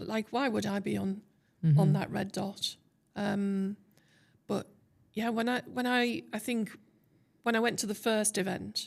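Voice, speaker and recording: A woman with a Teesside accent, medium pitch, ordinary pitch variation, a fairly slow pace, and long, frequent pauses. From Teesside, England. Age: 60s. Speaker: TEDx speaker, tech consultant. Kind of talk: interview answer. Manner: candid, casual.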